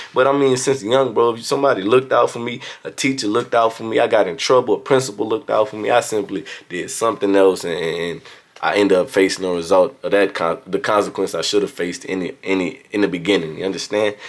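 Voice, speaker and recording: Talking at a very fast pace, a man with an American accent has a fairly low pitch and ordinary pitch variation. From Louisiana, US South. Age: young. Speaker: motivational vlogger. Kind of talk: motivational talk. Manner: casual.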